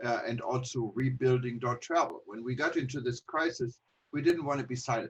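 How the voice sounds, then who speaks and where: A man's somewhat breathy voice at a medium pitch, speaking at a fairly quick pace in a dry, close sound with no echo. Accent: German. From Germany. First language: German. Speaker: travel industry publisher. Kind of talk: presentation. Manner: hesitant, many fillers.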